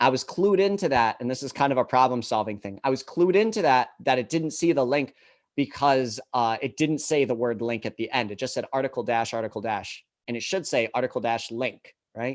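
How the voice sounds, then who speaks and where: Set against a quiet background, a man speaks fairly quickly in a medium-pitched voice with lively intonation. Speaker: assistive technology instructor. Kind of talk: live tutorial. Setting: live stream. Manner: fast.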